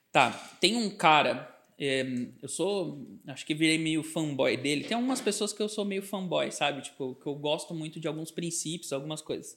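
A man with an unremarkable speaking voice talks at a moderate pace. His pitch is fairly high, with lively intonation. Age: 30s. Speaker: advertising and branding agency founder. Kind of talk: podcast interview.

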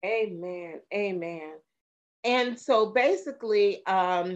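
A woman talks with ordinary pitch variation. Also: quiet background. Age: 40s. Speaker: minister and podcast host. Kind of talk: interview.

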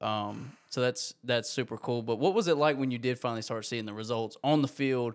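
This is an ordinary speaking voice at a fairly quick pace. The recording is very clean, with a silent background. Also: man. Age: 20s. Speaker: podcast host. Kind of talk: interview.

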